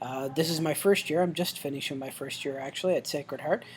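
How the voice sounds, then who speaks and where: Very fast speech over noticeable background noise. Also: man. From Newfoundland, Canada. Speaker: professor. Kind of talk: course welcome video. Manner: hesitant, many fillers.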